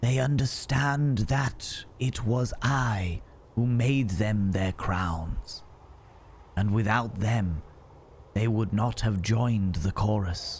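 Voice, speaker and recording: A man's hissing, put-on character voice at a medium pitch and a very slow pace, with clear background noise. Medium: game stream. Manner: calm, unhurried.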